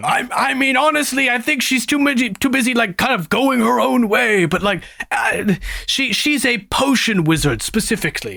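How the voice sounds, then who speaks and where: A man puts on a character voice of extremely high pitch, speaking at a moderate pace. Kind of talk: comic table roleplay. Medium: actual play. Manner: rambling, hesitant, filler-heavy.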